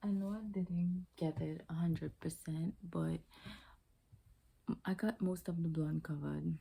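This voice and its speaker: Soft-spoken, a woman talks at a fairly slow pace with very even loudness and long, frequent pauses. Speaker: beauty vlogger. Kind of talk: casual hair tutorial vlog. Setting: at home late at night. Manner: hushed, soft-spoken.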